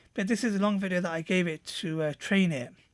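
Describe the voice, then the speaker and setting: A man with a high pitch mumbles, his pitch varying in an ordinary way. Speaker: software reviewer. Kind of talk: screen-recorded tutorial review. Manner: mumbly; halting, many fillers.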